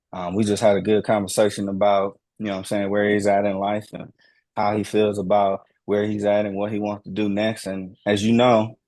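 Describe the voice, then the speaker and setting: At a fairly quick pace, a man with an American accent talks in a fairly low pitch with monotone, flat intonation. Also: quiet background. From Houston, Texas. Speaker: podcast host. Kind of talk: casual chat.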